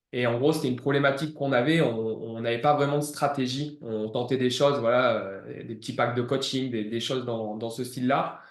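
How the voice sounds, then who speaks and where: At a moderate pace and with hardly any pauses, a man talks at a medium pitch with fairly even intonation in a room with audible echo. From southeastern France, Ardèche/Drôme near Valence. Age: 30s. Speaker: gym manager and former fitness coach. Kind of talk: client testimonial interview. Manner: hesitant, many fillers.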